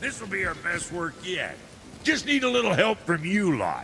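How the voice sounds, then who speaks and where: A man's put-on character voice, high in pitch, at a moderate pace over clear background noise. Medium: video game. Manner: brash, boisterous.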